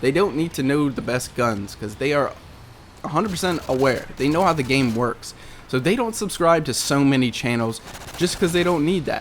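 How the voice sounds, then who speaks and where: A man's fairly high voice, full of lively intonation, moves at a moderate pace against noticeable background noise. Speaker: gaming commentator. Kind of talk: gameplay commentary. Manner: casual, halting.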